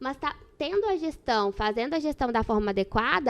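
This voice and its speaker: A woman speaks with a Minas Gerais accent. The sound is dry and close, with no echo and a quiet background. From Minas Gerais, Brazil. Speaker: dentist and dental practice management expert. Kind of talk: podcast interview.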